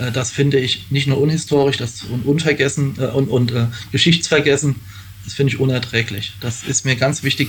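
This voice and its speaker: A man speaks at a fairly quick pace with medium pitch and fairly even intonation over noticeable background noise. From Rheinhessen, Rhineland-Palatinate. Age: 40s. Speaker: election candidate. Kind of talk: interview. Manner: hesitant, many fillers.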